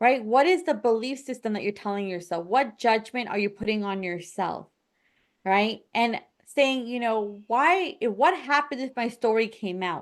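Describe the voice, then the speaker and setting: Here is an ordinary speaking voice with an American accent and lively intonation. The pace is moderate and the background quiet. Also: woman, fairly high pitch for a woman. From United States. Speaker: podcast host and confidence coach. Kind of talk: podcast conversation.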